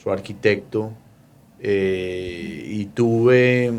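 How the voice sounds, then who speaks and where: A man's fairly low voice with a Bogotá accent and fairly even intonation. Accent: Bogotá (rolo) Colombian Spanish. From Colombia, Bogotá. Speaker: mortgage lender. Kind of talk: interview.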